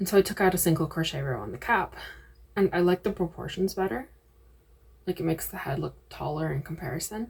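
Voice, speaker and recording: A woman talks at a fairly quick pace with lively intonation. Her fairly low voice has vocal fry. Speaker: crochet vlogger. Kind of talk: casual vlog.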